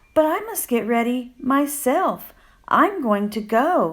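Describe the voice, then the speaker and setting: A female-sounding voice uses a high-pitched, put-on character voice. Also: fairly slow pace. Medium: read story.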